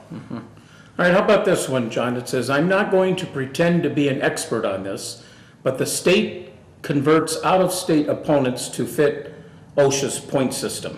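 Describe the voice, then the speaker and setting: A man with a fairly high pitch and an American accent speaks at a moderate pace with lively intonation. Audible room echo surrounds his voice. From northwestern Pennsylvania. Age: 60s. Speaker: local TV talk show host. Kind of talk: casual interview.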